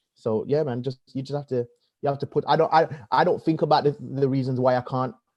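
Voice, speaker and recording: Talking at a very fast pace, a man with a Birmingham accent uses a fairly high pitch and fairly even intonation. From Birmingham, England. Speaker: comedian and presenter. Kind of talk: podcast interview.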